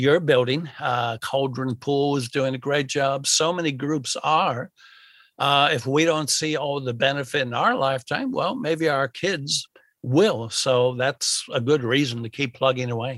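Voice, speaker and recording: Speaking at a fairly slow pace with fairly even intonation, a man with an American accent uses an ordinary speaking voice pitched fairly high. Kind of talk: interview conversation. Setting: at home, remote recording.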